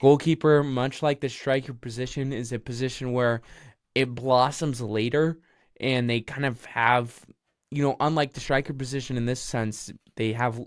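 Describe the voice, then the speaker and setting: On a very clean recording with a silent background, a man speaks at medium pitch and a moderate pace in an unremarkable speaking voice. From United States. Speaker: football podcast host. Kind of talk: casual chat.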